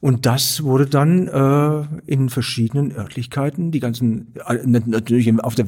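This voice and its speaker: The man's voice has a dark, mellow tone. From Stuttgart, Swabia. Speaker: artist and theatre director. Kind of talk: interview conversation.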